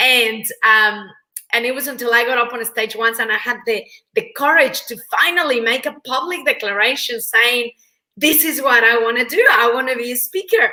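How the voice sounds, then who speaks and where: A woman speaks at a high pitch with a Mexican accent. Her tone is bright and sharp, and her pace is moderate. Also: ordinary pitch variation. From Mexico. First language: Spanish. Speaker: motivational speaker and trainer. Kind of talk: interview.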